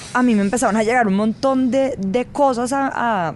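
Moderate-paced speech from a woman, noticeable background noise behind it. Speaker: journalist. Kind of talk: interview.

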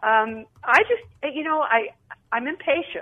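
A woman speaks with ordinary pitch variation. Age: 70s. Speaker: caller. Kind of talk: call-in chat.

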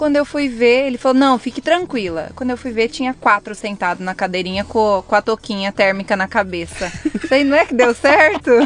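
Noticeable background noise sits behind a woman's fairly high voice. She talks at a fairly quick pace with lively intonation. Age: 20s. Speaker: hairdresser, salon owner. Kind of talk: casual interview conversation.

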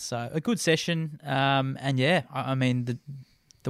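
In a dry, close recording with no echo, a man with a normal speaking voice talks at medium pitch with fairly even intonation. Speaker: co-host, cyclist. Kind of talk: casual chat.

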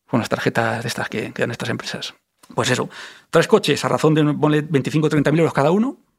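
The pace is fairly quick. Pitch variation stays ordinary. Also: man, fairly high pitch for a man. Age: 40s. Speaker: identity theft victim. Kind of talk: testimony. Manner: animated.

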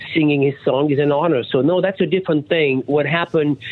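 A man talks with a French accent. Noticeable background noise can be heard. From France. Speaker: rock singer and songwriter. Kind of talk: radio interview. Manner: halting, many fillers.

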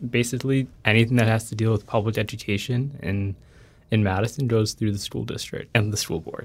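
At a fairly quick pace, a man of medium pitch talks in a somewhat breathy voice. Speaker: education reporter. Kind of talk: explanatory interview answers. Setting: studio. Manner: hesitant, filler-heavy.

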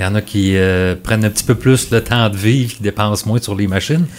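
An unremarkable speaking voice from a man, fairly low in pitch with ordinary pitch variation and a fairly quick pace. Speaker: agriculture podcast host. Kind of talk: interview.

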